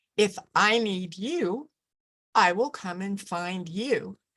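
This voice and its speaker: A woman's voice at a medium pitch. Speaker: presenter on living with hearing loss. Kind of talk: lecture. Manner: tends to speak too loudly.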